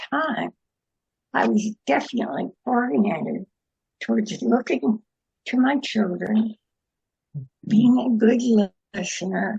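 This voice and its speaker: Her voice fairly high and touched with vocal fry, a woman talks at a fairly slow pace. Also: dry, close sound with no echo. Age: 90s. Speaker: participant. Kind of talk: casual chat.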